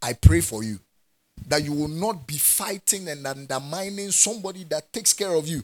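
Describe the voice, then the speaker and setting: With a Ghanaian accent, a man talks at a moderate pace and a fairly high pitch, his animated tone carrying lively intonation and big swings in loudness. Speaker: preacher. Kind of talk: sermon preached to a live congregation, with call-and-response. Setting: church. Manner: animated, fervent, exhorting in a rising pulpit cadence; direct and authoritative, with laughter and asides to the congregation.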